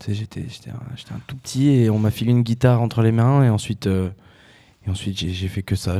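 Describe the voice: Fairly even intonation at a fairly quick pace, in a dark, mellow tone. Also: man.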